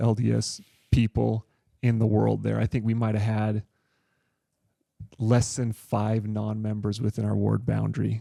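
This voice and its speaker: A man with a Utah accent speaks at a moderate pace, leaving long, frequent pauses. The sound is dry and close, with no echo. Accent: Utah American English. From US West, Provo, Utah. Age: 40s. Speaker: physical therapist, podcast guest. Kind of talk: interview, personal story. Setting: in-person studio interview.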